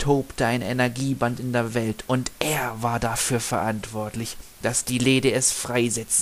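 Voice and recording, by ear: With fairly even intonation, the speaker is reading aloud in a natural voice.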